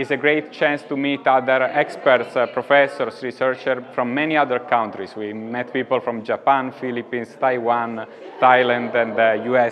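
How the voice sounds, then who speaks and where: A man with an Italian accent at a moderate pace, fairly even intonation and light background noise. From Italy. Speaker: psychologist; conference presenter. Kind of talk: interview. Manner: halting. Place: hall. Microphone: lapel.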